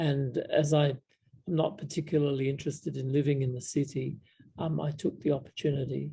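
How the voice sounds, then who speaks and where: This man, with an Australian accent, talks at a fairly quick pace in a fairly high voice. His tone is dark and mellow, somewhat breathy, and his intonation monotone and flat. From South Australia, Adelaide. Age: 70s. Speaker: Buddhist monk. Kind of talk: casual Q&A chat. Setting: video call. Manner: halting, many fillers.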